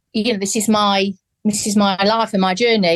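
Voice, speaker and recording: A woman speaks with an English accent at medium pitch. The sound is dry and close with no echo. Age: 50s. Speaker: adult adoptee, charity founder. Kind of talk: interview testimony. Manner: halting.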